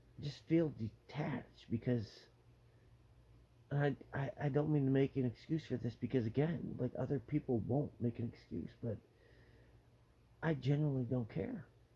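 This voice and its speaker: Somewhat breathy, a man speaks in a dark, mellow tone with ordinary pitch variation. He leaves long, frequent pauses. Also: medium pitch for a man, moderate pace. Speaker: vlogger with terminal cancer. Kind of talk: personal vlog monologue. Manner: halting.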